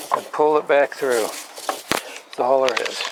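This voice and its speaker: The intonation is monotone and flat, with noticeable background noise behind it. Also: man. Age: 70s. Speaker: motorcycle how-to video maker. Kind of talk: tutorial. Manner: hesitant, many filler words.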